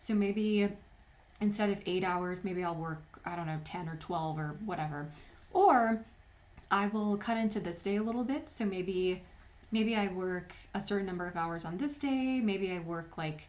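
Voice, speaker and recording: A woman speaks with ordinary pitch variation. There is audible echo from the room. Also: medium pitch for a woman, moderate pace. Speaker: wedding photographer and tutorial maker. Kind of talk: tutorial.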